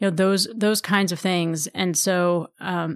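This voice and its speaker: On a very clean recording with a silent background, a woman with an ordinary speaking voice talks at a fairly low pitch with fairly even intonation. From Texas, Houston suburbs. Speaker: political strategist and advocacy group leader. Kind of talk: interview conversation.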